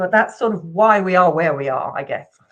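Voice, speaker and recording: This woman talks at a very fast pace in a medium pitch. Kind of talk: interview. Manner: animated.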